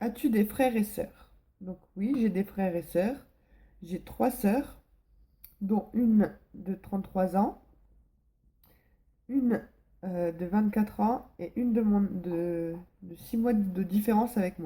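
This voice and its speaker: Somewhat breathy and dark, mellow in tone, this voice moves at a very slow pace with long, frequent pauses and ordinary pitch variation. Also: woman, big swings in loudness. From northern France, Pas-de-Calais. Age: 20s. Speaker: vlogger. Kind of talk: casual vlog Q&A. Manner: hesitant, many fillers.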